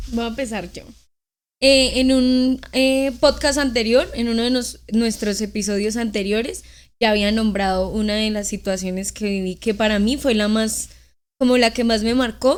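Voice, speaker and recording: On a very clean recording with a silent background, a woman talks at a fairly slow pace in a fairly high pitch with fairly even intonation. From Colombia, Norte de Santander. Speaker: podcast co-host, dental student/dentist. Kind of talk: casual chat, anecdote.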